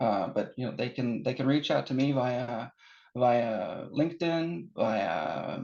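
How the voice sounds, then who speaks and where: A man with an American accent speaks at a very slow pace, his medium pitch showing ordinary variation. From Norway, born in Seattle, US. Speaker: technology company sales director. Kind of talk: webinar interview. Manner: halting, many fillers.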